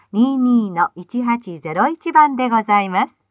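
Big pitch swings mark this woman's fairly high voice, which moves at a fairly slow pace. The sound is dry and close, with no echo.

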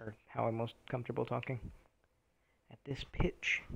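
Vocal fry runs through a man's flat, monotone delivery at a fairly quick pace. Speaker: gaming streamer. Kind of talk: gameplay commentary. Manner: low, not projected.

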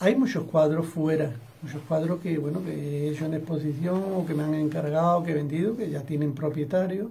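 Over light background noise, a man with a fairly high voice talks at a moderate pace with ordinary pitch variation. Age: 60s. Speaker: painter. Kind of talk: interview; interview answer. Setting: studio. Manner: halting. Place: home room. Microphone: webcam.

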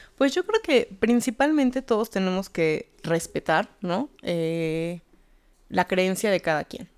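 A woman speaks very slowly with lively intonation against a quiet background. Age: 30s. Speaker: tarot reader and spiritual healer; tarot reader. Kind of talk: casual interview chat. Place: studio. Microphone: studio mic.

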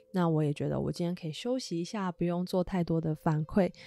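A woman's gentle, dark and mellow voice, fairly low in pitch, at a moderate pace with ordinary pitch variation, in a dry, close sound with no echo. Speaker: tarot reader and podcast host. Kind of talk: solo podcast monologue.

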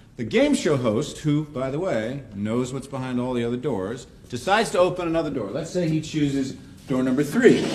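A man talks at a fairly quick pace with lively intonation. Light background noise is present. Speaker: professor. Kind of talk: lecture. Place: classroom.

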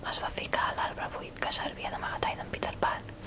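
A woman is whispering at a fairly quick pace. Noticeable background noise can be heard. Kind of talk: fairy tale reading.

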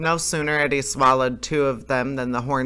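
Intonation stays fairly level as someone plainly reads a text aloud.

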